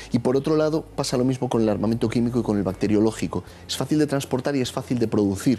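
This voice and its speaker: A man talks at a very fast pace with ordinary pitch variation. His tone is dark and mellow, with light background noise behind him. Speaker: law professor. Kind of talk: analytical commentary. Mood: serious, analytical. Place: studio.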